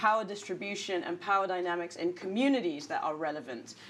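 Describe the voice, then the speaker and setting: At a moderate pace, a woman speaks. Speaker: leader of a political party. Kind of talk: panel discussion. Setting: live audience in a newsroom. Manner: halting.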